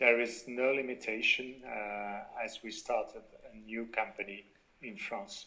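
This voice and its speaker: With a French accent, a man speaks at a fairly slow pace, his loudness swinging widely. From Belgium. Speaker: company founder. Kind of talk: interview. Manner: halting, many fillers.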